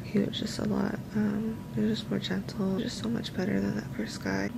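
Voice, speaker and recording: Over noticeable background noise, a woman speaks in a weary tone. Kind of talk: casual vlog chat. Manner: weary, low-energy voice lying in bed. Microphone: phone near.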